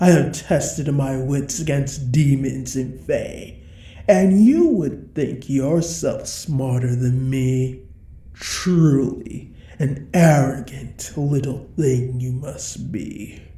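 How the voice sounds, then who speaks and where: A woman in a put-on character voice, very slow, with a very deep, low pitch. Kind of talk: audio roleplay. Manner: menacing, condescending.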